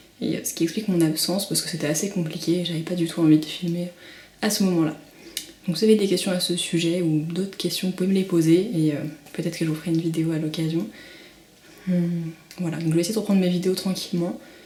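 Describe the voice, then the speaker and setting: The speech runs at a very fast pace, broken by long, frequent pauses. There is audible room echo and noticeable background noise. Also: woman, fairly low pitch for a woman. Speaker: beauty and parenting vlogger. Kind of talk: product unboxing vlog. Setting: at home. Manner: hesitant, many fillers.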